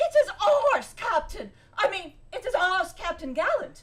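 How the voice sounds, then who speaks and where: A woman's squeaky, put-on character voice, extremely high and swinging very widely in pitch, at a moderate pace. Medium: stage play.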